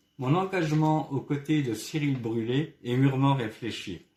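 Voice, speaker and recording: The voice is dark and mellow, somewhat breathy, and moves at a fairly slow pace. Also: man. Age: 60s. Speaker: retired ambulance driver, local election candidate. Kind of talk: campaign presentation statement. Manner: formal, prepared.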